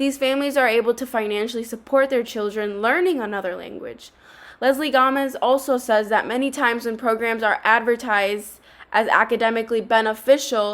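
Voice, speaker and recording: Speaking at a fairly quick pace, a woman with a Spanish accent uses a fairly high pitch and fairly even intonation. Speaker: student. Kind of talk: scripted narration. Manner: formal.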